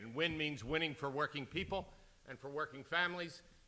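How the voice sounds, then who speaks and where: A man's fairly high, bright, sharp voice at a fairly quick pace with fairly even intonation. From US, Philadelphia. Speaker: union leader. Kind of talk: keynote speech.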